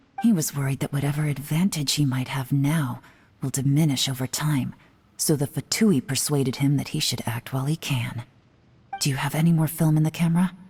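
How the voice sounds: A woman's put-on character voice, low-pitched and husky with a rough edge, fairly even in intonation and at a fairly quick pace. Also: slightly mellow tone.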